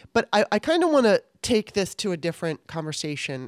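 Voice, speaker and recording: A woman's fairly quick speech, dry and close with no echo, on a very clean recording with a silent background. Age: 50s. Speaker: political podcast host. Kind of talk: casual chat. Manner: animated.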